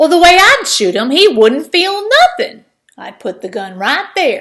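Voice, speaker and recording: A put-on character voice from a woman, extremely high in pitch and raised and projected, with very wide pitch swings at a moderate pace. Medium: read story. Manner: blunt, insistent.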